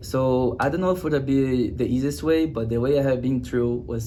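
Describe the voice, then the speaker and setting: A medium-pitched man's voice with a Brazilian Portuguese accent and audible room echo. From Brazil, Rio de Janeiro. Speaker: student athlete. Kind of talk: interview. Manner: halting, many fillers.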